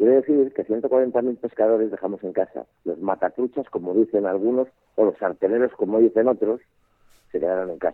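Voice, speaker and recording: Someone talks at a moderate pace in a normal speaking voice with ordinary pitch variation. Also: man, medium pitch for a man. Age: 60s. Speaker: fly fishing expert and instructor. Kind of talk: casual interview. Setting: phone call.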